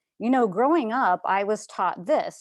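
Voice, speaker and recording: A woman speaks loud, with very wide pitch swings. The background is quiet. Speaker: coach and speaker. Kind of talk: webinar talk. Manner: animated.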